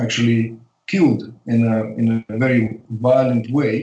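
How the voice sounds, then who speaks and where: A man speaks fairly slowly at a medium pitch in a dark, mellow tone. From Uzbekistan (Tashkent), Soviet Union. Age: 50s. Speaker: spiritual teacher and artist. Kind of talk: interview. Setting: remote call.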